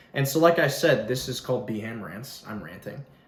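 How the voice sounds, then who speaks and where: Audible room echo around a man's fairly high-pitched speech, its pitch variation ordinary. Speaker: YouTuber. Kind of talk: casual vlog rant. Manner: fast; animated.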